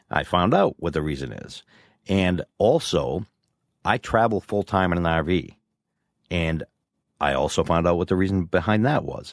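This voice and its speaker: A man with a very deep, low voice and vocal fry talks at a moderate pace with ordinary pitch variation and long, frequent pauses, on a very clean, dry, close recording with a silent background and no echo. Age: 50s. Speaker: podcast co-host. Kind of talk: casual chat.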